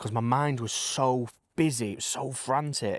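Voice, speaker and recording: The recording is very clean, its background silent. A man speaks at medium pitch. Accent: Lancashire. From Blackpool, northern England. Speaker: poet. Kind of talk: personal testimony in casual interview. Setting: riding on a bike. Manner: halting, with many restarts.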